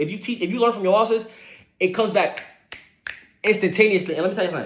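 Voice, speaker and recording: In an animated tone, a man is talking. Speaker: online money motivation creator. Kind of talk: motivational monologue. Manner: fast.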